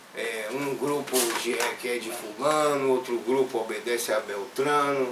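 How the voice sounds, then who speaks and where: Speaking at a fairly slow pace, a man uses a medium pitch and fairly even intonation. There is audible room echo along with noticeable background noise. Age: 60s. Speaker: journalist and professor. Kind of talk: interview. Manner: halting, many fillers and restarts.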